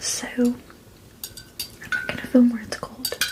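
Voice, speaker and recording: A woman is whispering. Noticeable background noise runs underneath. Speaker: ASMR creator. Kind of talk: casual ASMR eating chat. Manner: whispered.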